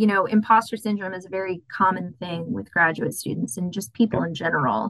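Using lively intonation and a medium pitch, a woman talks fairly quickly with an American accent and vocal fry. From Texas, San Antonio. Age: 20s. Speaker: graduate student, aquatic biologist. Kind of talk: interview, casual chat.

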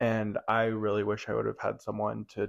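A man speaks at a fairly low pitch. His pace is moderate, and the background is quiet. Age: 20s. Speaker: youth minister. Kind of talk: casual chat.

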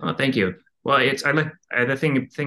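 A man speaks with an American accent at a moderate pace. His tone is bright and sharp, and the background is quiet. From New Jersey. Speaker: chemistry professor. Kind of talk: casual interview. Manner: halting, many repeated words.

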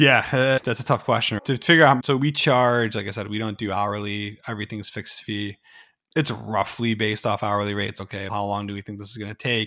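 With an ordinary speaking voice, a man talks at a fairly quick pace in a fairly low pitch, with ordinary pitch variation and big swings in loudness. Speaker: cybersecurity company founder. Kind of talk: casual interview chat.

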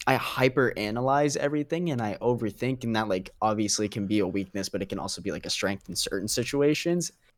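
On a very clean recording with a silent background, a man uses an ordinary speaking voice at medium pitch, moving at a fairly quick pace with lively intonation. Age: young. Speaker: podcast guest. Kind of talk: casual chat.

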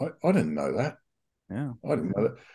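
A man with an Australian accent has a dark, mellow tone and some vocal fry. His pitch swings very widely. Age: 60s. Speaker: recovering addict. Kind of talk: personal testimony.

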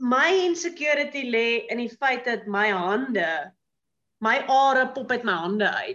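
Her tone is bright and sharp. This woman speaks at a high pitch with lively intonation. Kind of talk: casual chat. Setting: video call.

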